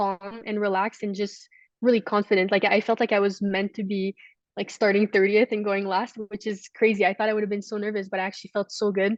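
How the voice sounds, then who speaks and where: A woman with a Canadian accent, medium pitch and monotone, flat intonation at a fairly quick pace, the sound dry and close with no echo. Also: quiet background. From Canada. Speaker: alpine ski racer. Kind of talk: interview.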